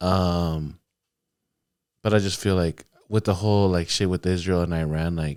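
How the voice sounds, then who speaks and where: In a very clean recording with a silent background, a man with a very deep, low pitch speaks at a fairly slow pace in a flat monotone, with long, frequent pauses. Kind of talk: casual chat.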